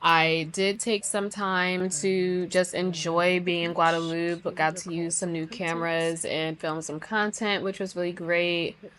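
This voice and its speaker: Her pitch is fairly low and her intonation monotone and flat. The woman speaks at a fairly slow pace. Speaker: marine science vlogger. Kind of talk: casual vlog narration. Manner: casual, chatty.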